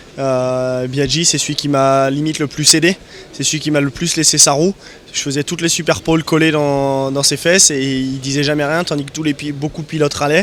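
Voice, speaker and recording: Over noticeable background noise, a man talks at a fairly high pitch with monotone, flat intonation. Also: fairly quick pace. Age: 20s. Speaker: motorcycle racer. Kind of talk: interview. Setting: motorcycle show stand. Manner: halting.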